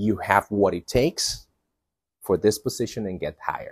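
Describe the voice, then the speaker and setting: A man's dark, mellow voice at a fairly slow pace, dry with no echo, over a quiet background. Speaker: call center job trainer. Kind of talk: tutorial. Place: garden. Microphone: lapel.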